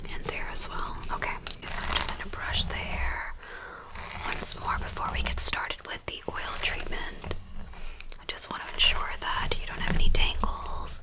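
A woman whispering at a moderate pace. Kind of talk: soft-spoken role play. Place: home room.

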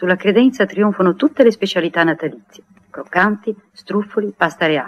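Her intonation lively, a woman talks at a fairly quick pace. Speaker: narrator of radio play. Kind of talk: 1959 radio drama, narrator reading stage directions aloud; narration of stage directions. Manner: measured, lyrical, warmly evocative storyteller pace. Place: studio. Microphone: old recording.

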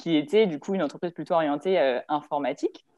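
A woman speaks in a normal speaking voice at a fairly low pitch, with ordinary pitch variation. Her pace is fairly quick, and the background is quiet. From France, Lyon; France. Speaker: engineer, strategic planning supervisor; panelist. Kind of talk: panel talk. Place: home room. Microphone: video call.

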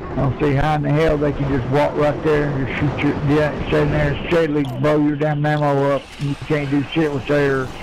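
This is a man with a Southern US accent. Noticeable background noise can be heard. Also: fairly high pitch for a man, moderate pace, hardly any pauses. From Southern United States. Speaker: online game player. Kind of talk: casual in-game voice chat. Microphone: headset.

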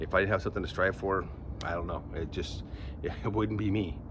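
Against noticeable background noise, a man rushes along at a very fast pace with a very deep, low pitch and vocal fry. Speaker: fitness vlogger. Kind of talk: casual vlog chat. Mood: candid, slightly wry. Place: garden. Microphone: phone near.

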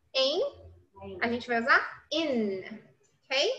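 At a moderate pace, a woman projects a raised, high-pitched voice with a bright, sharp tone. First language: Portuguese. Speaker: English teacher. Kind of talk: lecture. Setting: classroom with students also joining remotely.

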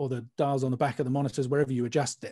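Against a quiet background, a man with a British accent speaks in a dark, mellow tone. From UK. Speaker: mastering engineer; guest. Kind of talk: panel discussion. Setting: video call. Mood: relaxed, explanatory. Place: studio.

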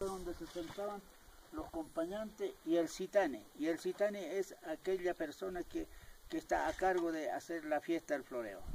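Over light background noise, a man talks at a moderate pace with a high pitch and lively intonation. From Chilean Andes, Aymara. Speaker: llama shepherd. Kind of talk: explanatory talk about a tradition. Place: open country. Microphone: camera far.

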